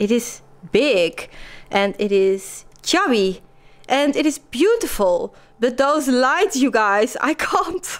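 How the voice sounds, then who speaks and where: Speaking at a very slow pace with very even loudness, a woman with a Dutch accent uses a high pitch and very wide pitch swings. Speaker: lifestyle vlogger. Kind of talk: casual vlog talk.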